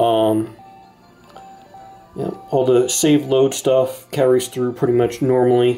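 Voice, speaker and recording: A man's medium-pitched voice, monotone and flat, at a fairly slow pace with music in the background. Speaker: game developer. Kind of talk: casual game demo talk. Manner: hesitant, many fillers.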